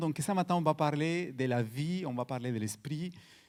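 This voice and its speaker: On a very clean recording with a silent background, a man speaks at a fairly slow pace with lively intonation. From Colombia, Cali. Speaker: guest preacher. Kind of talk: sermon. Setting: church. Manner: halting, repeats words.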